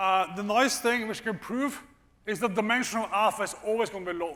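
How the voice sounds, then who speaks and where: A man with a high voice speaks at a moderate pace. He uses a raised, projected voice. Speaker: economics professor. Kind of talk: lecture. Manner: casual, with frequent fillers.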